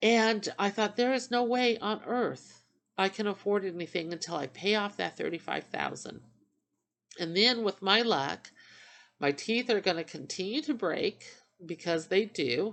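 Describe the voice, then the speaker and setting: A woman speaks at a fairly slow pace in a normal speaking voice, her pitch medium and her intonation lively. The background is quiet. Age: 50s. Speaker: vlogger sharing dental journey. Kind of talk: casual vlog monologue. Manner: rambling conversational, with fillers.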